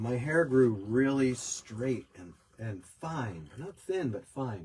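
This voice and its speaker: A man with an American accent speaks at a very slow pace, his intonation lively and his loudness swinging widely. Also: medium pitch for a man. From US, New York. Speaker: podcast host. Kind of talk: casual chat.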